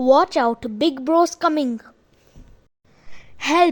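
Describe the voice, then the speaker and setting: A woman puts on a squeaky character voice. Her pitch is high. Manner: alarmed, panicked.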